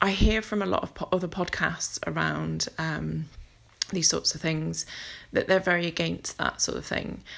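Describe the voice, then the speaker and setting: On a very clean recording with a silent background, a woman with a British accent talks at a moderate pace. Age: 40. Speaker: podcast host. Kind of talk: solo monologue podcast. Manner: hesitant, many ums.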